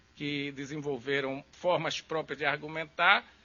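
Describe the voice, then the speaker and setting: A man speaks at a moderate pace. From Brazil, Recife. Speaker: law professor. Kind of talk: lecture.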